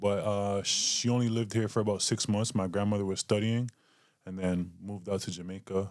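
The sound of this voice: With a Canadian accent, a man with a fairly low pitch speaks at a moderate pace using fairly even intonation.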